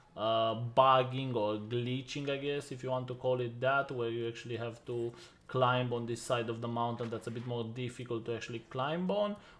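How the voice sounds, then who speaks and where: A man with a non-native accent, fairly even intonation, a moderate pace and hardly any pauses. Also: medium pitch for a man. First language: not English. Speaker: gaming youtuber. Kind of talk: game guide voiceover. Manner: casual, many filler uhs.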